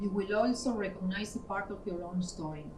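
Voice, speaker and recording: A woman's somewhat breathy voice moves at a moderate pace with fairly even intonation. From Argentina. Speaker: gallery owner and artist. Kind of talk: opening speech. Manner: formal.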